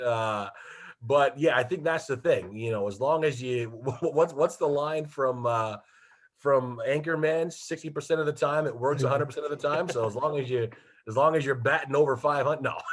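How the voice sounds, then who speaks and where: At a moderate pace, a man talks in a plain, everyday voice with fairly high pitch and ordinary pitch variation. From Detroit, USA. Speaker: radio play-by-play hockey announcer. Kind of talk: interview answer, casual anecdotes. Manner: conversational, humorous.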